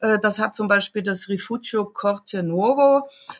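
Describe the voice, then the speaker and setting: A woman talks at a fairly slow pace. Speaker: travel journalist and photographer. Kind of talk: casual interview. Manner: halting, many fillers.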